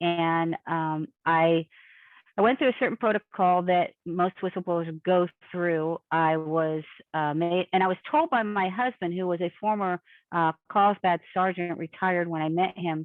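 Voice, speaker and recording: A woman speaks in an ordinary speaking voice, fairly low in pitch. Her pace is fairly slow and her intonation fairly even. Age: 60s. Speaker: abuse survivor. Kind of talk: interview.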